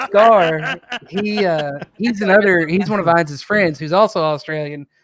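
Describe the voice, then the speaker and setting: A high-pitched man talks at a moderate pace with an American accent. His pitch variation is ordinary. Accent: country accent, milder away from parents. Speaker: podcast host. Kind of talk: casual chat. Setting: livestream.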